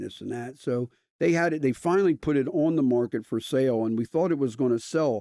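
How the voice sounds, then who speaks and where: Lively intonation and a dark, mellow tone mark this voice with an American accent, recorded dry and close with no echo. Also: man. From Delaware, US. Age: 60s. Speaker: restaurant owner. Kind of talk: casual chat.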